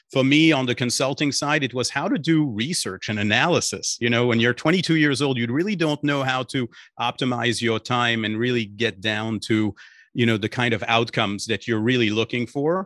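Speaking at a fairly quick pace with a slight French accent, this man has a medium pitch and ordinary pitch variation. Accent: slight French-tinged English. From Belgium. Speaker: startup finance chief. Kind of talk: interview conversation.

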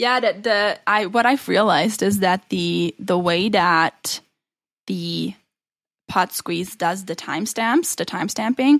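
On a very clean recording with a silent background and a dry, close sound with no echo, a woman with vocal fry speaks fairly slowly in a medium pitch with ordinary pitch variation. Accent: non-native. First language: not English. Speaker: podcast co-host. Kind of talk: casual chat.

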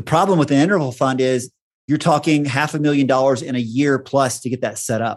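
This man has an unremarkable speaking voice with an American accent, talking at a fairly quick pace in a fairly high pitch with fairly even intonation. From Texas. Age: 50s. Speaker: company founder. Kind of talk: casual chat.

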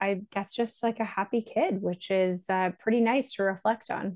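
In a quiet background, a woman with a Canadian accent and an unremarkable speaking voice talks at a fairly slow pace, her medium pitch showing ordinary variation. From Canada. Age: 30s. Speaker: startup founder and CEO. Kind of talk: interview.

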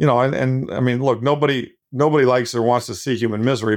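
Against a quiet background, a man with an unremarkable speaking voice talks at a fairly quick pace, keeping a medium pitch and ordinary pitch variation. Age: 60s. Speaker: investment manager. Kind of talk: casual interview conversation.

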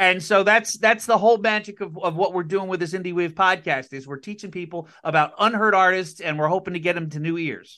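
A man's raised, projected voice with an American accent, high in pitch with ordinary pitch variation, bright and sharp in tone, at a fairly quick pace, with big swings in loudness over a quiet background. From Connecticut, US. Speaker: podcast host. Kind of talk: casual interview.

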